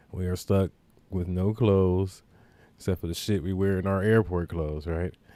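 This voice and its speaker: Very deep and low, a man's voice carries a dark, mellow tone at a moderate pace. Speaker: podcast host. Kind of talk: casual storytelling monologue. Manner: animated; stuttering at times.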